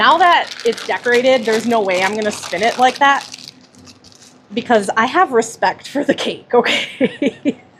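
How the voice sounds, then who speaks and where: Noticeable background noise sits behind a woman at a moderate pace. Her pitch is fairly high, with ordinary pitch variation. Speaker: cake decorator livestreamer. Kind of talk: livestream chat with viewers. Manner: loud; laughs a lot.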